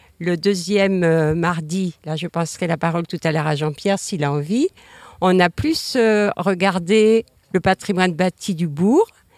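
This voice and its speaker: In a very clean recording with a silent background and a dry, close sound with no echo, a woman with an ordinary speaking voice talks fairly slowly at a fairly low pitch. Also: ordinary pitch variation. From Brittany, Morbihan. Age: 60s. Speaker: local resident. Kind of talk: panel discussion. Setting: outdoors.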